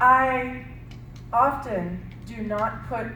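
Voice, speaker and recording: Audible room echo and noticeable background noise are present. The speaker is a woman. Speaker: speech and language therapist. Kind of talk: workshop presentation. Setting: workshop with audience. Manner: slow.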